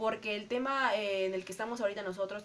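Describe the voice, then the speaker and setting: This woman has a normal speaking voice at a medium pitch, with ordinary pitch variation. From Peru, Arequipa. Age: 30s. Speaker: podcast co-host. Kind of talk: casual chat.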